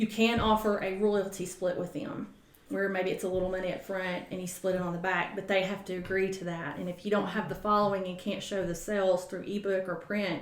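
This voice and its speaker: A woman with a Southern US accent talks at a fairly quick pace and medium pitch, monotone and flat, with hardly any pauses, audible room echo and noticeable background noise. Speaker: author and book-publishing coach. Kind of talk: casual interview chat.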